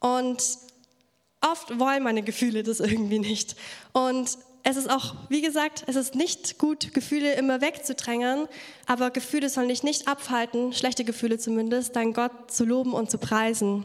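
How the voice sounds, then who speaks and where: A woman with a high-pitched voice speaks at a moderate pace, her intonation fairly even and her loudness very even. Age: 20s. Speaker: youth church speaker. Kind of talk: sermon.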